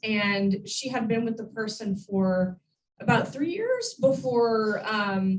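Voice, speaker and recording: The speaker is a woman. Her pitch shows ordinary variation. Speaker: wildlife education director. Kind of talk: public talk. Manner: loud; chatty, with many fillers.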